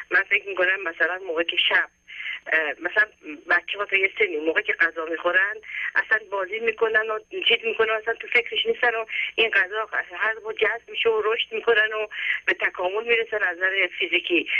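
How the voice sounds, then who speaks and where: Long, frequent pauses break up the speech, and noticeable background noise sits behind it. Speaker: caller. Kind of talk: phone call to radio show. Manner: halting.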